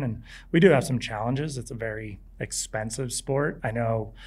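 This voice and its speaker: Audible room echo carries a man's voice with an American accent. He speaks at medium pitch with ordinary pitch variation. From California beach town. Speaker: professional skier. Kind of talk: live interview before audience. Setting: outdoor stage with audience.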